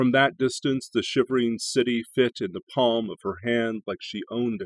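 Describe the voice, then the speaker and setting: Recorded dry with no echo, a man talks at a moderate pace. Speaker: poetry channel host and reader. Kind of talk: poem reading. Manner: measured, expressive reading aloud. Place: home room. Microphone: webcam.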